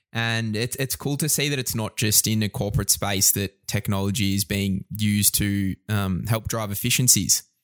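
An Australian accent at a moderate pace, with ordinary pitch variation and hardly any pauses, in a dry, close sound with no echo on a very clean recording with a silent background. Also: man, fairly low pitch for a man. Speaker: podcast co-host. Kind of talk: casual interview.

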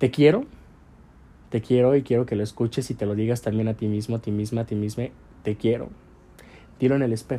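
A man speaks at a fairly quick pace with a medium pitch and a dark, mellow tone. His intonation is flat and monotone, broken by long, frequent pauses. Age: 20s. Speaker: podcaster and modeling agency owner. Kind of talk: personal reflective monologue.

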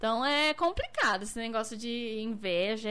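The woman's tone is bright and sharp. Her pitch varies in an ordinary way. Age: 20s. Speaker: dancer and model. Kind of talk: casual livestream interview chat.

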